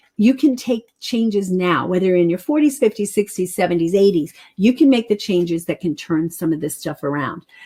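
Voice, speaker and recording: Speaking at a fairly quick pace, a woman uses a medium pitch and lively intonation. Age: 60s. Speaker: health practitioner teaching a nutrition webinar. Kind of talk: live webinar presentation. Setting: live online broadcast.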